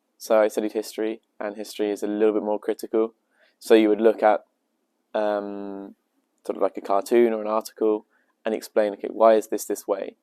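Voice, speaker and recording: A man with a British accent, a dark, mellow tone and fairly low pitch, flat, monotone intonation and a fairly quick pace, dry and close with no echo on a very clean recording with a silent background. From England, Devon. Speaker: language student. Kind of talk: interview.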